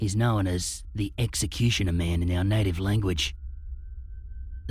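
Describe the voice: What is heard here is plain reading aloud.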